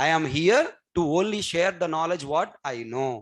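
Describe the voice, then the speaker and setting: A man speaks with a Telugu accent at a fairly high pitch. His intonation is lively, and the background is quiet. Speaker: programming trainer. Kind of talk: lecture.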